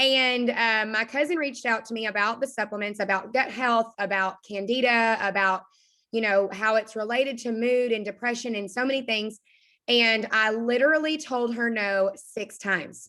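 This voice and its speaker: With an Arkansas accent, a woman speaks in an animated, bright, sharp tone at a moderate pace on a very clean recording with a silent background. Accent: Arkansas Southern. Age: 20s. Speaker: direct sales team leader. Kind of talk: motivational talk on a team call.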